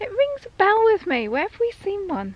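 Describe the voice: A woman speaks at an extremely high pitch, her voice swinging very widely up and down. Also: moderate pace.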